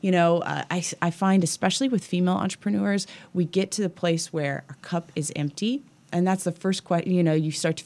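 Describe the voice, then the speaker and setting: This woman talks very fast. Her voice is fairly low-pitched. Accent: American. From Kansas City, US Midwest. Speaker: gym owner and fitness coach. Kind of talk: interview. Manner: halting.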